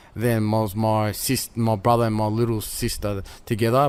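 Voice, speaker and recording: Monotone and flat in intonation, the man talks at a medium pitch and a moderate pace. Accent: Australian. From Melbourne, Australia. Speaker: former prisoner and boxer. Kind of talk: interview. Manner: halting.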